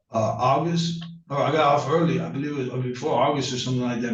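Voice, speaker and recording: Against noticeable background noise and audible room echo, a man at medium pitch speaks at a very fast pace. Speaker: defendant. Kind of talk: court testimony.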